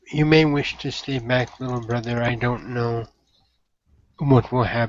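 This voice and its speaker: Here a man puts on a character voice. His pitch is medium and his pace moderate. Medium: actual play. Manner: formal, courteous, measured.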